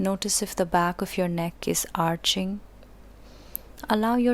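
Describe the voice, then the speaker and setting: A woman speaks in a plain, everyday voice at a medium pitch. Her pace is fairly slow and her intonation fairly even. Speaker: yoga teacher. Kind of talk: guided relaxation. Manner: slow, calm, soothing.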